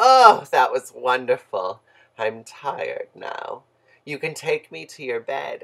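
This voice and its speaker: A croaky, put-on character voice moves along at a fairly slow pace. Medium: read story.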